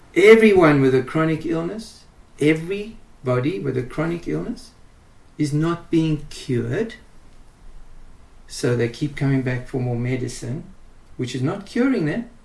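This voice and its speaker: Fairly slow, somewhat breathy delivery with lively intonation and long, frequent pauses. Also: man, fairly high pitch for a man. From South Africa, Pretoria. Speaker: doctor. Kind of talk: interview.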